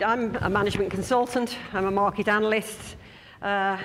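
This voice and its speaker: The voice carries ordinary pitch variation, with audible room echo around it. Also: woman. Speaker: management consultant giving a conference talk. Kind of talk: conference presentation. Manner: fast.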